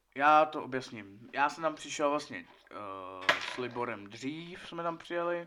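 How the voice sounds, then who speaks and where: Noticeable background noise behind a man's fairly high voice, a fairly slow pace, and ordinary pitch variation. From Czechia, Česká Lípa. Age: 20s. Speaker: podcast guest. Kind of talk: casual chat. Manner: halting.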